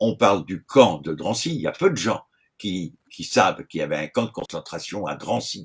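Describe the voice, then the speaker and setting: A man at a moderate pace with very wide pitch swings, on a very clean recording with a silent background. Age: 70s. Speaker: retired gendarme. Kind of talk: interview.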